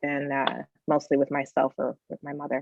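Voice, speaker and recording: Speaking with an American accent, a woman has a very deep, low pitch. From California. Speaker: tech executive and educator. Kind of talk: interview.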